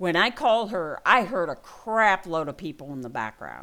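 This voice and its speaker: Vocal fry and very wide pitch swings mark this voice at a moderate pace on a very clean recording with a silent background. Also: woman. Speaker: gaming vlogger. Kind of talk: personal vlog update. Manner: halting.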